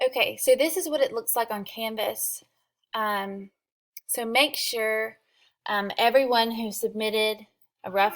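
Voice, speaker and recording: Over a very clean recording with a silent background, a woman speaks at a fairly slow pace with a fairly high pitch and ordinary pitch variation. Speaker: college writing instructor. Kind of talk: recorded class instructions. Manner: hesitant, many fillers.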